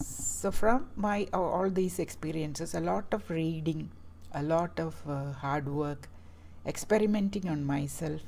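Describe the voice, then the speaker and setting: In a Keralan accent, a woman with a very deep, low pitch and a dark, mellow tone speaks at a fairly slow pace with lively intonation. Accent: Indian English (Malayali). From Kerala, South India. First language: Malayalam. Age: 60s. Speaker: health vlogger. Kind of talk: personal talk to camera. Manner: halting, with many fillers.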